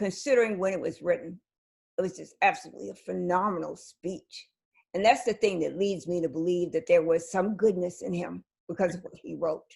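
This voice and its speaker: An American woman talks at a fairly quick pace at a medium pitch, with vocal fry, ordinary pitch variation and big swings in loudness. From US South, South Carolina. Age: 60s. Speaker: interview host. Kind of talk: interview conversation.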